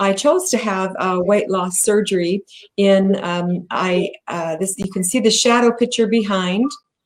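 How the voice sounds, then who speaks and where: With an American accent, a woman talks at a fairly slow pace in a plain, everyday voice, medium in pitch with ordinary pitch variation. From US. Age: 60s. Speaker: bariatric patient advocate and company president. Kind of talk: interview presentation. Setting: video call livestream.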